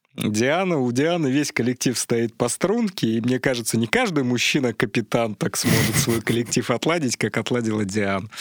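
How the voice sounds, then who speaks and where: Amid noticeable background noise, a man of medium pitch speaks at a moderate pace with ordinary pitch variation, the sound dry and close with no echo. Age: 30s. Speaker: science popularizer. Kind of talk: casual chat. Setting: studio.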